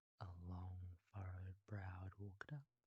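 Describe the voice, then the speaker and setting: A man with a very deep, low pitch speaks very slowly in a somewhat breathy, monotone, flat way. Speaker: ASMR creator. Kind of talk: bedtime story telling.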